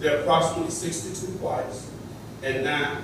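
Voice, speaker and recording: The speech comes at a moderate pace amid noticeable background noise and strong room echo. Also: man. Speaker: public commenter at board meeting. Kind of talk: public statement. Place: hall.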